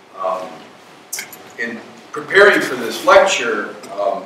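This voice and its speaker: A man's voice at a middling speed, with clear background noise and an echoing room. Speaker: physicist and guest lecturer. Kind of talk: lecture. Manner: relaxed, conversational.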